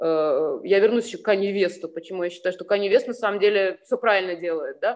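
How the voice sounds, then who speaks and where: A woman with a normal speaking voice talks at a fairly quick pace in a medium pitch, with ordinary pitch variation and big swings in loudness. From Ukraine (Sevastopol, Crimea). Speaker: fashion designer. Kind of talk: casual interview.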